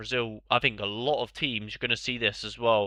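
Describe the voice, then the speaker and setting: Speaking with a British accent over a quiet background, a man uses a bright, sharp tone at medium pitch with ordinary pitch variation. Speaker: fantasy football streamer. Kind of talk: live stream commentary, casual chat. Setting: live stream. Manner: casual, hesitant with fillers.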